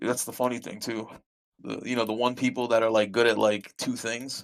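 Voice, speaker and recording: In an American accent, a man talks at a fairly quick pace. His pitch sits in the medium range. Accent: New York accent, disputed. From US Northeast, Brooklyn, New York. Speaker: gamer, druid tank. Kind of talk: casual chat.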